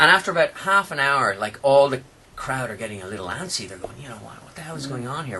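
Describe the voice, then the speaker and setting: A man with an Irish accent, medium pitch, very fast pace, lively intonation and big swings in loudness. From Ireland. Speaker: radio host. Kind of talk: radio interview chat. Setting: radio studio.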